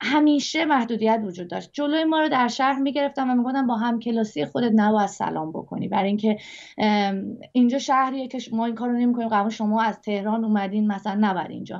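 A woman's fairly high voice at a very fast pace, with ordinary pitch variation and a quiet background. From Iran. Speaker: singer; interview guest. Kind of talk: interview. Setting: video call. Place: home room. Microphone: video call.

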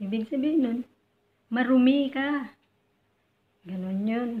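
A woman talks at a very slow pace, somewhat breathy. Her tone is dark and mellow, with ordinary pitch variation. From Philippines. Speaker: overseas domestic worker and YouTuber; YouTuber. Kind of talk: tutorial. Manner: polite, uses po. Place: home room. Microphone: phone near.

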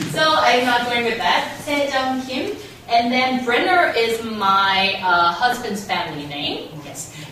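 Woman's high voice in a Korean accent, very slow with very wide pitch swings, light background noise, and strong room echo. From South Korea. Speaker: radio host and scriptwriter. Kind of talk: public talk. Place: meeting room. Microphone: camera far.

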